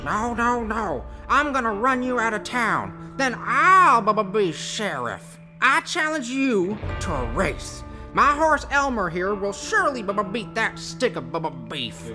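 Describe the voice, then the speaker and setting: Over clear music in the background, a female-sounding put-on character voice speaks at a fairly high pitch and a fairly slow pace. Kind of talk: comic children's western play. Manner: blustering, boastful, then pleading.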